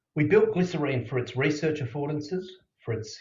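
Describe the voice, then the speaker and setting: With an Australian accent, a man talks very fast in a somewhat breathy voice with lively intonation, and audible room echo around him. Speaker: conference speaker. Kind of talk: conference presentation.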